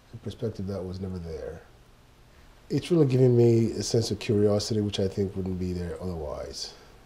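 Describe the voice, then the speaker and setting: A man with a somewhat breathy, fairly low voice and a dark, mellow tone speaks at a moderate pace. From Ghana, Accra. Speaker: graphic designer. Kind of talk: interview. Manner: reflective, with many fillers.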